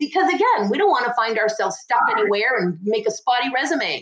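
A woman speaks in a normal speaking voice. Her pitch is fairly high and her intonation lively. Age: 50s. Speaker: hemp industry consultant. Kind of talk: interview.

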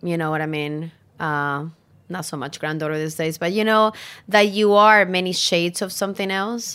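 A woman speaks with a Spanish accent at a fairly slow pace. Her pitch varies in an ordinary way, and the recording is very clean with a silent background. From Chile, Santiago. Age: 40s. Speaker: chef. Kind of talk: interview.

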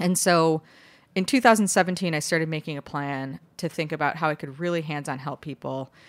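With an American accent, a woman speaks fairly quickly in a very deep, low pitch, recorded very cleanly against a silent background with a dry, close sound and no echo. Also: ordinary pitch variation. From Chicago, US Midwest. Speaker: bakery co-founder and CEO. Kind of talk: interview, casual chat.

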